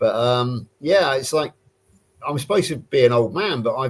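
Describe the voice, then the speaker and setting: Somewhat breathy, this voice moves at a moderate pace with ordinary pitch variation and a British accent. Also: man. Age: 60s. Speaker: carnivore diet guest. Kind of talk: casual chat.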